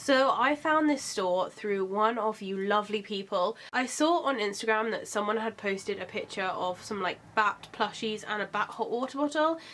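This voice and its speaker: This woman's voice sits fairly high in pitch. Her pitch varies in an ordinary way, and she keeps a moderate pace. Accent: British. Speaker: vlogger. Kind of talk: product haul review. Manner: casual, chatty.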